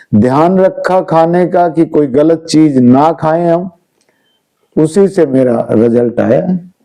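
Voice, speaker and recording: This man's fairly high voice has a dark, mellow tone, ordinary pitch variation and very even loudness. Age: 60s. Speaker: wellness and health coach. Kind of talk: interview.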